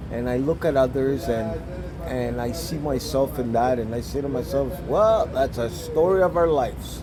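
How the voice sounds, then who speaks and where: A man talks at a fairly slow pace. There is noticeable background noise and audible room echo. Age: 60s. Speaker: recovering addict in detox. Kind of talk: interview. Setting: detox center. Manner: halting.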